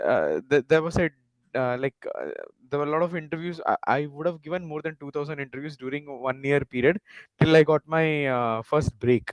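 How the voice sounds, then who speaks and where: A man in a Tamil accent speaks fairly quickly at a fairly high pitch, his intonation fairly even and the sound dry and close with no echo. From India, Tamil Nadu (Nagercoil), schooled in Mumbai. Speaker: panelist, career advisor. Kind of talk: panel discussion, career advice. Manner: hesitant, many fillers.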